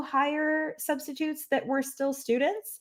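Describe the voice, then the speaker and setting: She has a French accent. The woman's delivery is fairly slow. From Quebec. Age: 30s. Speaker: French teacher. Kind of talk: webinar presentation. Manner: casual, chatty.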